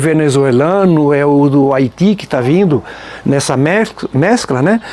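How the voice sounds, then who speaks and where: A man talks at a fairly high pitch while noticeable background noise fills the recording. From Nova Trento, Santa Catarina, southern Brazil. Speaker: folk music group member, singer. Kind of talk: documentary interview. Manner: informal, frequent filler 'né'.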